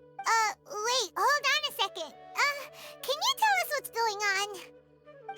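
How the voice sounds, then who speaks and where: An extremely high-pitched put-on character voice at a fairly slow pace, with faint music in the background. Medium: video game. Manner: hesitant, stammering.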